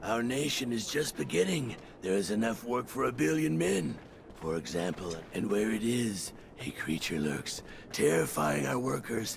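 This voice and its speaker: Over clear background noise, a man puts on a character voice at a fairly low pitch and a moderate pace. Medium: video game. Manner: formal, measured.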